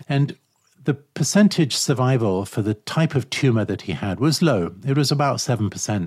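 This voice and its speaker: Somewhat breathy, a man talks at a moderate pace with a medium pitch and lively intonation. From East Africa (Uganda and Kenya). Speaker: architect and author. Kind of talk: interview testimony.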